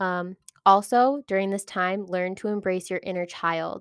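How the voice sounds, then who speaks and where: The woman speaks in a monotone with flat intonation. Her recording is very clean and dry, close, with no echo and a silent background. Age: 20s. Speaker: podcast host, human design reader. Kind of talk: casual monologue.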